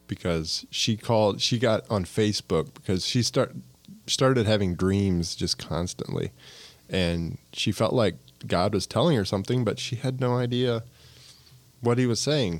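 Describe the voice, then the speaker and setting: In a very clean recording with a silent background, a man with an American accent has a plain, everyday voice and fairly low pitch. His loudness stays very even and his pitch varies in an ordinary way. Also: moderate pace. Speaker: local business owner. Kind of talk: casual chat.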